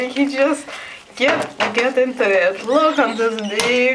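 A playful, amused voice with a Russian accent at a very slow pace, over noticeable background noise. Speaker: pet owner filming. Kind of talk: casual commentary while filming a pet. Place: home room. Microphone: phone near.

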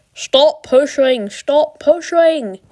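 The pitch is high. It is a put-on character voice. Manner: hissing, urgent.

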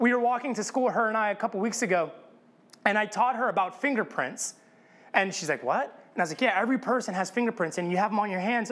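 A man's very fast speech, high in pitch with ordinary pitch variation. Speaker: pastor. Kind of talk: sermon. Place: church.

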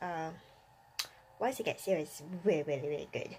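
A woman speaks quietly with ordinary pitch variation. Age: adult. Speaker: anime YouTuber. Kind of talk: casual vlog monologue. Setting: bedroom at night. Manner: quiet, subdued; hesitant, many fillers.

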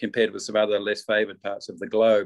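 A man speaks with a New Zealand accent. The background is quiet. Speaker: diplomat. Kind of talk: webinar presentation. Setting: video call. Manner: halting. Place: office. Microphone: video call.

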